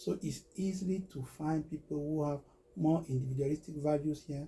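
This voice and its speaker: Speaking with a Cameroonian accent at a moderate pace, a man has a dark, mellow, somewhat breathy tone, a fairly high pitch and ordinary pitch variation. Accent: Cameroonian francophone English. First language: Medumba. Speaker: recruitment business owner. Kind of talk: interview testimony. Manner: halting.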